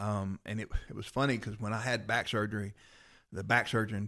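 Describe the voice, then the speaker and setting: A man with a Southern US accent talks at a very fast pace in a fairly low, monotone voice with flat intonation, recorded very cleanly against a silent background. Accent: Southern US (Georgia). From US South, Rome, Georgia. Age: 50s. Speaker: former fighter and police officer. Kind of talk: casual chat.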